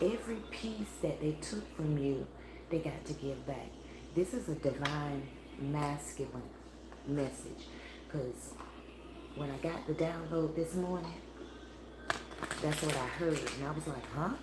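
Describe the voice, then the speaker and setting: Quiet and very deep, a woman speaks at a fairly slow pace with ordinary pitch variation and long, frequent pauses, with audible room echo and noticeable background noise. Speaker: spiritual tarot reader. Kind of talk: live tarot reading stream. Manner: low, quiet voice; casual, meandering.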